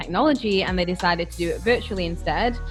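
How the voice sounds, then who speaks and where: Music plays in the background behind a woman's voice. She speaks with a British accent at a medium pitch. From United Kingdom. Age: young. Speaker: digital nomad and entrepreneur. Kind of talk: interview answer.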